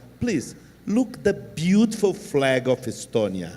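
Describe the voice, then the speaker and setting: A man with a Portuguese accent speaks at a very slow pace in a dark, mellow tone. His pitch makes very wide swings. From southern Brazil, Rio Grande do Sul. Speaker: panel moderator. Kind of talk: closing remarks.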